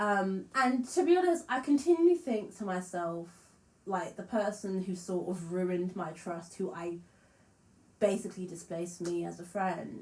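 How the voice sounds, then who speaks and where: A woman speaks at a moderate pace with ordinary pitch variation. Her medium-pitched voice is somewhat breathy. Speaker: musician and vlogger. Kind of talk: casual vlog monologue.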